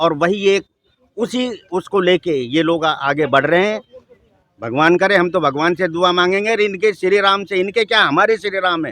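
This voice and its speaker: Bright and sharp in tone, a man speaks with a high pitch and ordinary pitch variation at a moderate pace. The sound is dry and close with no echo. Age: 60s. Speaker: member of the public interviewed on the street. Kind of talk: street interview opinion. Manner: animated.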